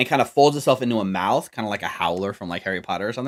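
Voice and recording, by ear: The passage is read aloud in a natural voice.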